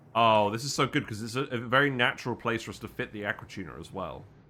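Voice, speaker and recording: A man with a British accent and a bright, sharp tone, fairly quick pace and ordinary pitch variation. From UK. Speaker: gaming streamer. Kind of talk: live game streaming commentary. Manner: thinking aloud, casual.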